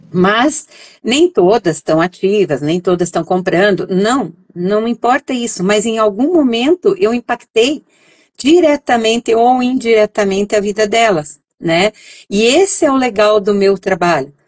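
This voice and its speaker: Lively intonation marks a woman's plain, everyday voice, pitched fairly high. The recording sounds dry and close, with no echo. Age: 60s. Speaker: essential oils entrepreneur. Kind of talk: interview. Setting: live stream. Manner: conversational, many fillers.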